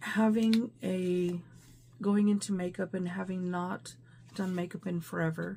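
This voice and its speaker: Very slow and somewhat breathy, a woman speaks at a medium pitch in a dark, mellow tone with ordinary pitch variation. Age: 50s. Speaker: beauty vlogger. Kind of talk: casual talk to camera.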